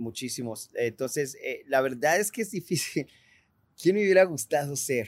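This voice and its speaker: This man speaks with lively intonation. He keeps a moderate pace. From Mexico, partly raised in Italy. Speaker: rock musician. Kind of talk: casual interview chat.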